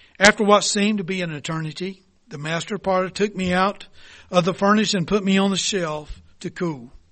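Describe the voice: What you hear is plain reading aloud.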